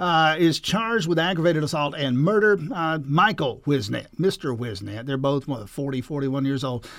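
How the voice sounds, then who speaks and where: A man with a plain, everyday voice and fairly high pitch speaks at a moderate pace with lively intonation and hardly any pauses. The recording is very clean, with a silent background. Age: 60s. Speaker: radio host. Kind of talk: radio interview.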